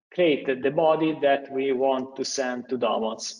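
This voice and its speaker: This man has a plain, everyday voice, pitched fairly high, and speaks at a fairly slow pace. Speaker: software engineer presenting a technical webinar. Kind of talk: technical tutorial webinar.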